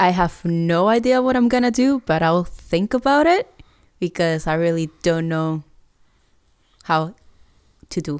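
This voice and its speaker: A woman with a Puerto Rican accent speaks at a fairly slow pace with a fairly low pitch. Her speech has long, frequent pauses. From Puerto Rico. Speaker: podcast co-host. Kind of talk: casual chat. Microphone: new gaming headset microphone.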